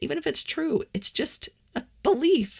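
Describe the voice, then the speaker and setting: A somewhat breathy woman speaks at a moderate pace in a very clean recording with a silent background. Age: 40s. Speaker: podcast host on personal growth. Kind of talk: solo monologue podcast.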